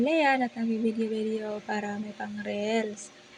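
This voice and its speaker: A woman with a Visayan accent speaks at a moderate pace against noticeable background noise. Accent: Visayan accent in Tagalog, sounds angry-ish. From Visayas, Philippines. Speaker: family vlogger. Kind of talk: voice-over narration. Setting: home, early morning voice-over.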